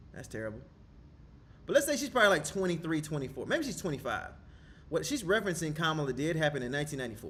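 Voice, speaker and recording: Speaking at a very fast pace yet with long, frequent pauses, a man with fairly high pitch and lively intonation swings widely in loudness amid audible room echo. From US South, Georgia (Decatur). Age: 30s. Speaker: political commentary streamer. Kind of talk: casual reaction commentary. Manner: loud, animated.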